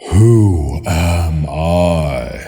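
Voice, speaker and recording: In a put-on character voice, a man pushes his pitch very deep and low. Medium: read story. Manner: grand, warm.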